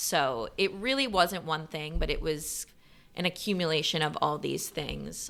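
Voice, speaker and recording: In an American accent, a woman with a fairly low pitch and a bright, sharp tone speaks with vocal fry on a very clean recording with a silent background. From US Pacific Northwest (Bellevue, Washington). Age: 20s. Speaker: fashion influencer. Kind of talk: interview conversation. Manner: casual, filler-heavy.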